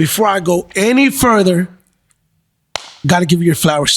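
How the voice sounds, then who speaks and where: Speaking in an American accent, a man uses a high pitch and an animated tone. The sound is dry and close, with no echo. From Texas. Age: 30s. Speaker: podcast host. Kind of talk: casual interview. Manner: loud.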